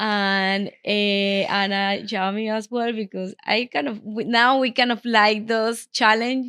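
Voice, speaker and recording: A woman with a Panamanian accent speaks fairly slowly in a fairly high voice, with fairly even intonation and hardly any pauses. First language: Spanish. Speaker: interior designer. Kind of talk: interview. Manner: halting, many fillers.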